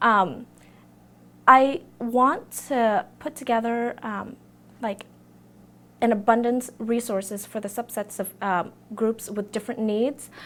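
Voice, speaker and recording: A woman with a Vietnamese accent speaks at a fairly high pitch with ordinary pitch variation. Her pace is very slow, with long, frequent pauses. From Vietnam, then US. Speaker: student election candidate. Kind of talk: campaign interview. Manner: hesitant, many fillers.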